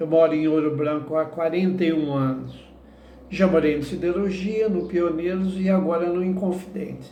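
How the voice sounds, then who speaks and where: At a moderate pace, a man with a high pitch talks with fairly even intonation. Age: 60s. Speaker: political candidate. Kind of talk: interview answers. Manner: halting.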